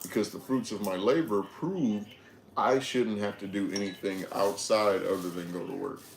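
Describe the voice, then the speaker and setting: A man speaks in a fairly low voice. His pace is moderate. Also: ordinary pitch variation. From Detroit, Michigan, US. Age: 20s. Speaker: livestreamer. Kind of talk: casual livestream chat.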